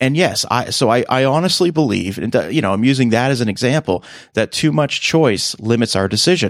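Over a very clean recording with a silent background, a man with an ordinary speaking voice at medium pitch talks at a fairly quick pace with lively intonation and very even loudness. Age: 30s. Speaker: movie podcaster and voice actor. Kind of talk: casual interview chat.

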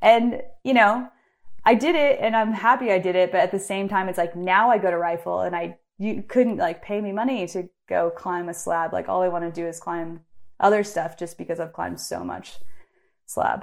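A woman at a medium pitch speaks in a normal speaking voice at a moderate pace with ordinary pitch variation, on a very clean recording with a silent background. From US Pacific Northwest (Bend, Oregon). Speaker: climber and photographer. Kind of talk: casual interview chat. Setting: internet call.

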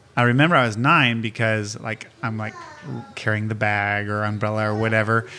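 Fairly even intonation at a fairly quick pace, over noticeable background noise. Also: man, fairly low pitch for a man. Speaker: Bible college worker. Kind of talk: casual chat.

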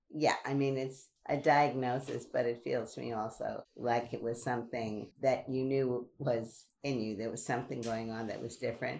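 Speaking with an American accent, a woman with a very deep, low pitch uses monotone, flat intonation and hardly any pauses. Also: moderate pace. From Brooklyn, New York. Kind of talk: casual interview chat.

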